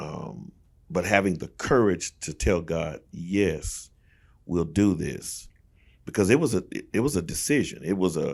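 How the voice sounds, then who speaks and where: A man's very deep, low voice with lively intonation at a fairly slow pace, on a very clean recording with a silent background. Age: 60s. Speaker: pastor. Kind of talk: casual chat. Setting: studio.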